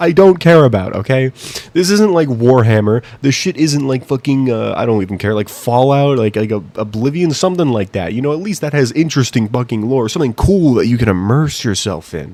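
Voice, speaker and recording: Mumbling at a fairly quick pace, a man speaks at a medium pitch with lively intonation. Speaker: YouTube commentator. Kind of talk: opinion rant. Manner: halting.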